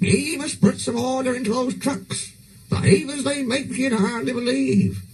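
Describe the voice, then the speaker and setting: Using a put-on character voice, a man speaks at a moderate pace with an extremely high pitch. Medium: read story.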